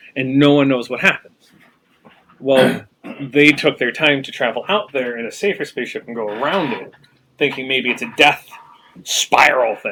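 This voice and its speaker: Bright and sharp in tone, a man's fairly high voice comes with long, frequent pauses. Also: ordinary pitch variation, moderate pace. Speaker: tabletop game master. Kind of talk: casual chat. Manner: raised pitch to be heard. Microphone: some listeners say he is too quiet.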